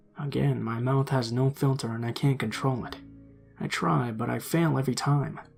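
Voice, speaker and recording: Music plays in the background behind a man's voice. He keeps a moderate pace at a medium pitch with ordinary pitch variation. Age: 20s. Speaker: story narrator. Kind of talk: horror story narration, casual first-person storytelling. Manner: casual, conversational, slightly sarcastic.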